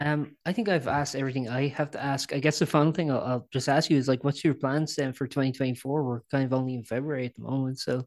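In an Irish accent, a man speaks very fast with a fairly high pitch and fairly even intonation. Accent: Irish, noticeable. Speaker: podcast host and website editor. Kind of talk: interview. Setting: video call. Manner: halting, many fillers.

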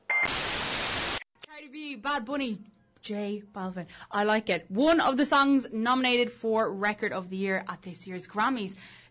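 Over noticeable background noise, a woman with a fairly high pitch and a bubbly, warm tone speaks at a fairly slow pace, her intonation lively and her volume rising and falling sharply. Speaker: student radio co-host. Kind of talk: cheery co-host banter, playful radio chat. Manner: bubbly, warm, brisk.

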